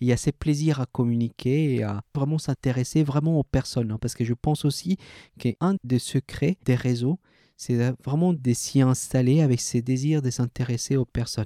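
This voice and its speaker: In a Spanish accent, a man with a dark, mellow tone speaks at medium pitch and a moderate pace with ordinary pitch variation, in a very clean, silent-background recording with a dry, close sound and no echo. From Colombia. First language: Spanish (speaking French). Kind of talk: interview.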